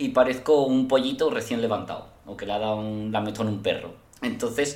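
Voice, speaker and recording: Audible room echo marks this recording of a man. His medium pitch has ordinary variation. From Spain. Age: 30s. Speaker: podcast guest. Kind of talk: casual chat.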